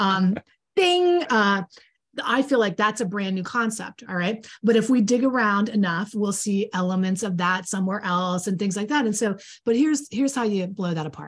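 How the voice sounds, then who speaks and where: Speaking at a moderate pace, a woman with a medium-pitched, somewhat breathy voice uses ordinary pitch variation. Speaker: podcast co-host and coach trainer. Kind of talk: casual chat. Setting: live stream. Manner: folksy, plain-spoken.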